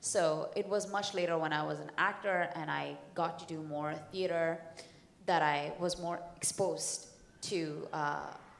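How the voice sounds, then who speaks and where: A woman with an Indian accent speaks at a fairly slow pace in a fairly low pitch. Her intonation is flat and monotone, with audible room echo. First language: Hindi. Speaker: comic book writer and actor. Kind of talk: panel discussion. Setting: stage with audience.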